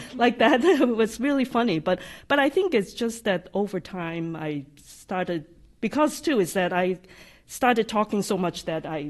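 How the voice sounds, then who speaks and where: Pitch leaps very widely as the speech proceeds at a moderate pace. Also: woman, fairly high pitch for a woman. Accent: slight non-native. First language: not English. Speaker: AI practice lead, software developer advocate. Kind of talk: live podcast interview. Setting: live studio audience at company summit. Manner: occasional stutters and hesitations.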